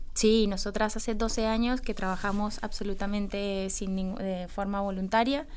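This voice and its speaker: Hardly any pauses break up this woman's fairly slow delivery, her medium pitch following a fairly even intonation amid audible room echo. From Colombia. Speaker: women's football coach and former player. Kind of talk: radio interview.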